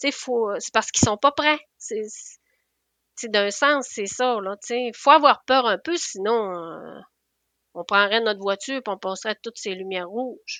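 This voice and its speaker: Bright and sharp in tone, a woman with a Quebec accent speaks at a fairly high pitch and fairly slow pace, with ordinary pitch variation and big swings in loudness against a quiet background. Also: dry, close sound with no echo. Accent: Québécois French. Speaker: nurse. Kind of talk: interview conversation. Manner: halting.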